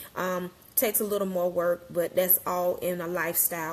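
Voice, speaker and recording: The woman's intonation is monotone and flat. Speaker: wellness coach. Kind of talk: casual live-stream talk. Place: kitchen. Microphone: phone near.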